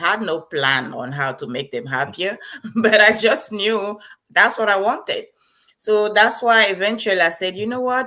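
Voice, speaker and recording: With a Liberian accent, a woman at medium pitch talks at a moderate pace in a bright, sharp tone, using lively intonation and some vocal fry. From Cameroon (French-speaking side). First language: Bassa. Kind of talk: interview.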